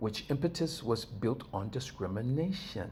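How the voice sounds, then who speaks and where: This man sounds somewhat breathy, and his pitch varies in an ordinary way. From US West Coast, East Los Angeles. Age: 60s. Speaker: video blogger. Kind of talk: personal commentary monologue. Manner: conversational, addresses viewers directly.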